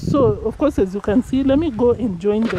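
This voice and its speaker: Noticeable background noise runs behind a woman speaking at a fairly slow pace. Her pitch is fairly high and her intonation lively. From Kenya. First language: Kenyan ethnic language. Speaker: village vlogger. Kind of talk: casual vlog narration. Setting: outdoors on a farm. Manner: casual, conversational.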